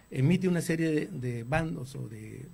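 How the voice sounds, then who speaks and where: The voice has a dark, mellow tone, is somewhat breathy and shows ordinary pitch variation. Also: man. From northern Mexico, Torreón, Coahuila. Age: 60s. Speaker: architect and politician. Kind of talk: interview. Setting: studio. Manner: halting, with frequent repetitions.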